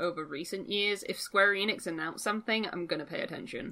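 Someone with an English accent talks at a fairly quick pace in a bright, sharp tone. The recording is very clean, with a silent background. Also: woman. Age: 20s. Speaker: gaming podcast co-host. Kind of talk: casual chat.

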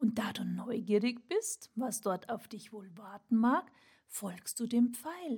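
A very slow, somewhat breathy delivery in a calm, soothing tone, with ordinary pitch variation and big swings in loudness. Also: woman, fairly high pitch for a woman. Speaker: burnout mentor and podcast host. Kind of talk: guided meditation. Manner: slow, calm, soothing; gentle, warm, with long pauses.

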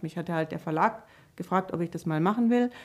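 A woman talks with a fairly low pitch and ordinary pitch variation. She has an unremarkable speaking voice. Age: 50s. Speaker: children's book author. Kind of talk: casual interview.

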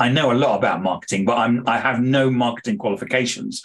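A man talks at a medium pitch with a British accent. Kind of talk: interview. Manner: hesitant, disfluent.

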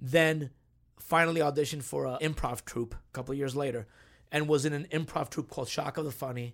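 This is a plain, everyday voice from a man, fairly high in pitch and fairly quick. The recording is very clean with a silent background. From New Jersey (Union City), born in Cuba. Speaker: actor. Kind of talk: casual chat.

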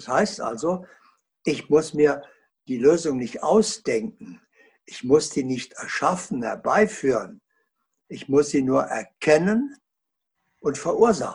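A man with a fairly high, somewhat breathy voice speaks very slowly, with long, frequent pauses. His pitch swings very widely and his loudness rises and falls sharply. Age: 80s+. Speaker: author and consciousness researcher. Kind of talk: interview.

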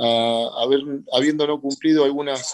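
A man uses a normal speaking voice, medium in pitch, with ordinary pitch variation. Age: 40s. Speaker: boxing promoter. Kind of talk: radio interview. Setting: video call.

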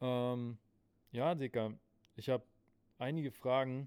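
Here a man is speaking. His pitch sits in the medium range. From Berlin (Spandau). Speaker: podcast host. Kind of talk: casual chat. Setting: recorded live in a late-night shop.

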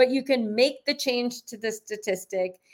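Speaking with a Canadian accent, a woman uses an ordinary speaking voice at a fairly high pitch. She talks at a fairly slow pace with ordinary pitch variation. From Canada. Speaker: author and business coach. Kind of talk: interview. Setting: video call.

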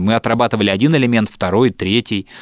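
A man's voice with ordinary pitch variation comes through in a dry, close sound with no echo on a very clean recording with a silent background. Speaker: podcast host and radio producer. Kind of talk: casual chat, storytelling.

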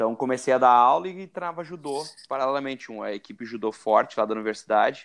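A man talks at a very fast pace with medium pitch and ordinary pitch variation. His loudness swings widely. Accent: southern Brazilian. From Brazil, Rio Grande do Sul. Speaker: jiu-jitsu referee and teacher. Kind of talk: interview.

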